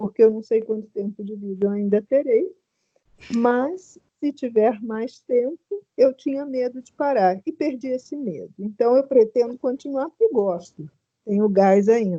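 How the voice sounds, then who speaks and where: A woman with a dark, mellow tone speaks at a fairly slow pace and a fairly high pitch, with lively intonation. Her loudness swings a lot, and the sound is dry and close, with no echo. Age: 60s. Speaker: retired teacher, workshop participant. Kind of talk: personal testimony. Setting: video call.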